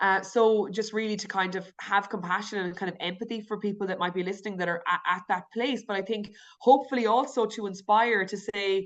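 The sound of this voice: A woman talks in a rural Irish accent. Her pace is fairly quick. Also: medium pitch for a woman, fairly even intonation.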